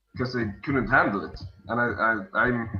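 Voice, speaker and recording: A man with a Swedish accent speaks at a medium pitch and fairly even intonation. Music plays in the background, and the room echo is audible. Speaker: world champion card game player. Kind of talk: casual interview on stream. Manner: halting, many repeats; calm.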